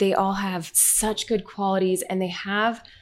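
This is a woman with an ordinary speaking voice and an American accent, pitched in the medium range. The recording is very clean, with a silent background. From Utah, Orem. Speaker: charity founder. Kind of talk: interview.

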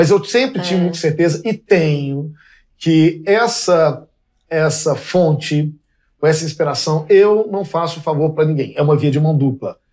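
Using a plain, everyday voice, a man with a fairly high pitch talks at a fairly slow pace with ordinary pitch variation. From Minas Gerais, Belo Horizonte. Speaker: fashion designer. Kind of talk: casual chat. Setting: in a home.

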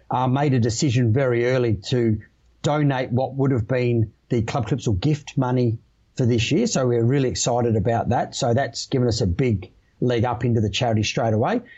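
A man with an Australian accent speaks fairly quickly in a medium, somewhat breathy voice. His pitch varies in an ordinary way. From Australia, Adelaide. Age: 40s. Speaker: electrical industry manager, former electrician and army veteran. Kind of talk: podcast interview.

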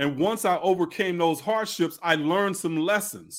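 His voice is high-pitched for a man, with ordinary pitch variation. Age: 50s. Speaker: spiritual teacher and author. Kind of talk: interview. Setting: video call.

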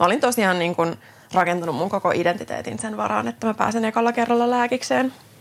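With a Swedish accent, a woman speaks with lively intonation and vocal fry. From Finland, Tuusula (Finland-Swedish). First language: Swedish (speaking Finnish). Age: 30s. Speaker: physiotherapist and podcast host. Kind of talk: solo podcast monologue. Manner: hesitant, many fillers.

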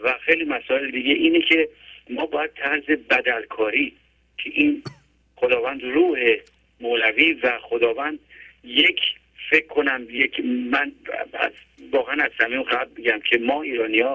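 A man's fairly high voice at a moderate pace, fairly even in intonation, broken by long, frequent pauses. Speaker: caller. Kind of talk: phone-in opinion. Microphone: clear line.

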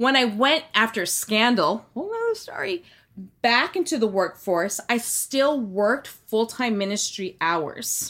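With a fairly high pitch and lively intonation, a woman speaks at a moderate pace in an unremarkable speaking voice, captured on a very clean recording with a silent background. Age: 40s. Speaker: former cult member. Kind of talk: casual chat.

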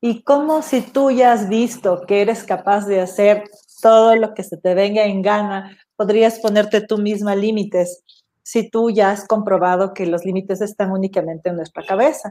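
A dark, mellow tone with fairly even intonation at a moderate pace. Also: woman, medium pitch for a woman. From Ecuador. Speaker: podcast host. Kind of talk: interview. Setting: video call.

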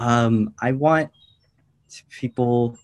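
The intonation stays fairly even, and the sound is dry and close with no echo. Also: man. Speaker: nonprofit events manager. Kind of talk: casual chat.

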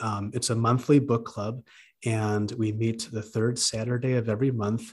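A man's ordinary speaking voice against a quiet background. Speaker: librarian, book club leader, commercial announcer. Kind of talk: casual conversational book discussion.

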